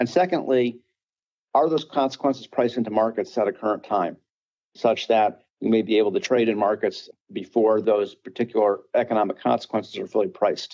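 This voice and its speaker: With an American accent, a man speaks at a fairly quick pace in a dark, mellow tone. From upstate New York. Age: 50s. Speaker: podcast host, investment officer. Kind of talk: webinar moderation.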